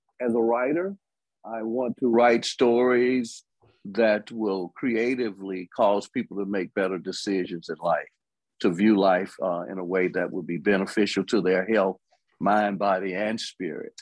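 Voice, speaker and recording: A man with an Alabama accent speaks at a fairly slow pace with ordinary pitch variation. The sound is dry and close with no echo, against a quiet background. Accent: Southern US (Alabama). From US South, Alabama. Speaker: gospel music writer. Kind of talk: interview.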